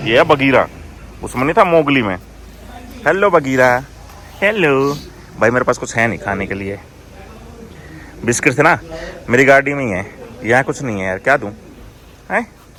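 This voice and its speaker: Over noticeable background noise, a man with a medium pitch talks at a moderate pace in an animated tone, with very wide pitch swings and long, frequent pauses. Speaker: travel vlogger. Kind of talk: casual travel vlog. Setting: outdoors.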